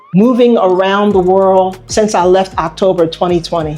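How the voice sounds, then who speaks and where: Music plays in the background. A woman with an American accent speaks at a medium pitch. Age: 70s. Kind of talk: interview answer. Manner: casual, hesitant.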